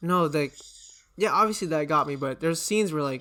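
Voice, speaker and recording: A man talking at a very fast pace, fairly high-pitched, with ordinary pitch variation and music in the background. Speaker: podcast host. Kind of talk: casual chat. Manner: casual, slangy.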